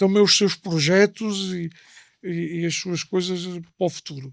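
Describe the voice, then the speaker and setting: A man's high voice with an Alentejo accent, dry and close with no echo, on a very clean recording over a silent background. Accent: Alentejo accent, Mourão. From Portugal, Alentejo (Mourão). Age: 40s. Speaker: former seminarian giving faith testimony. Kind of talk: interview testimony.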